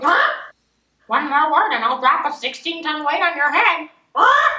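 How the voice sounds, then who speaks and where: A woman's put-on character voice at an extremely high pitch, moderate pace, with slight echo. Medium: stage. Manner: squawking, repetitive.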